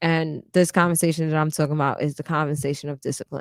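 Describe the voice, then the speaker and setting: In a very clean recording with a silent background, a woman speaks with a very deep, low pitch and monotone, flat intonation, the sound dry and close with no echo. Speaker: podcast co-host. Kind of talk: casual chat. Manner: loud.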